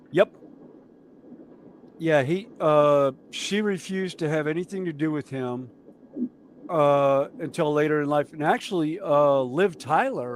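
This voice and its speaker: Over noticeable background noise, a man with an American accent talks at a fairly slow pace in a fairly high pitch, with ordinary pitch variation and long, frequent pauses. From US South (mountains). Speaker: model railway streamer. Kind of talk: casual chat. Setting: live stream.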